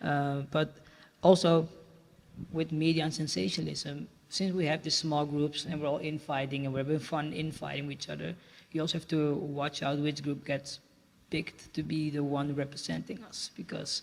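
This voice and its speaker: Moderate in pace, this is a normal speaking voice. The intonation stays fairly even. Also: man, fairly high pitch for a man. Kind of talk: panel discussion.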